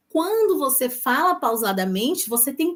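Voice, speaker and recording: Here a woman speaks at a fairly slow pace. The recording is very clean, with a silent background. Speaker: lawyer and legal career coach. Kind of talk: live stream talk to audience. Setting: live stream on Instagram and YouTube.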